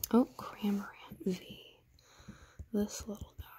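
Soft-spoken whispering over light background noise. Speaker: ASMR creator. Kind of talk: ASMR soft-spoken readthrough of a card game guide. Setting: ASMR recording with tapping and crinkling sounds.

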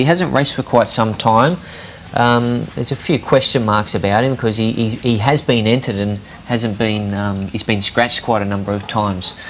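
A man with a medium pitch moves at a fairly quick pace, with noticeable background noise behind him. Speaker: racing tipster. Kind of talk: casual chat.

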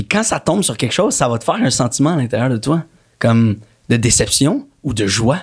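A man speaks at a fairly quick pace with a somewhat breathy voice. The background is quiet. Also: lively intonation. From Quebec, Montreal. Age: 30s. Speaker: actor. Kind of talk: casual chat. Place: studio. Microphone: studio mic.

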